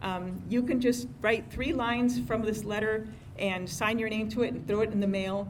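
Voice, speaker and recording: Recorded with audible room echo and noticeable background noise, a woman speaks at a moderate pace, her fairly high pitch showing ordinary variation. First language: not English. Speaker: civic organization president. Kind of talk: meeting announcements. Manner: hesitant, many fillers.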